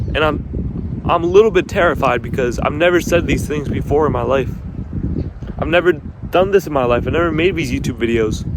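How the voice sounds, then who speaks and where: A fairly quick pace and lively intonation, with noticeable background noise behind. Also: man, fairly high pitch for a man. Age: young. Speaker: motivational video creator. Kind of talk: motivational talk. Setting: outdoors. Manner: halting, repeats and stutters.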